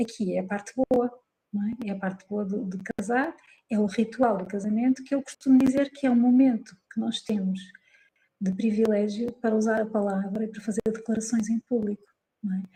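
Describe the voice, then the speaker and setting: A woman with a European Portuguese accent speaks at a moderate pace, her voice fairly high and somewhat breathy. Her tone is dark and mellow, and her intonation is fairly even. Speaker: psychologist and wedding celebrant. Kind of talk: interview conversation. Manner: calm; hesitant fillers.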